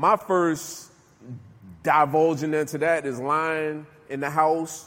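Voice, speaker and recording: In a normal speaking voice, a man with an American accent speaks at a fairly high pitch with fairly even intonation. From Newark, New Jersey. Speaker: recovery speaker, former prisoner. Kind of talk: motivational talk to jail inmates. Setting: jail, live audience.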